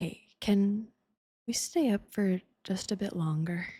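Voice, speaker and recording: A woman's voice comes across somewhat breathy, with a dark, mellow and gentle tone. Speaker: ASMR performer. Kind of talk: intimate ASMR girlfriend roleplay. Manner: soft, gentle, intimate.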